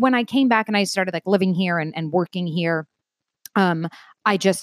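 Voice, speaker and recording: A woman with an American accent at a medium pitch with ordinary pitch variation, in a very clean recording with a silent background and a dry, close sound with no echo. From Long Island, New York. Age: 30s. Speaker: entertainment sales executive. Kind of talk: casual chat. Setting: home.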